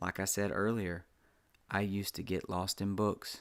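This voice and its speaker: On a very clean recording with a silent background, a man with a Southern US accent speaks at a fairly low pitch in a monotone, flat intonation. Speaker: author reading own story. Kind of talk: reading aloud.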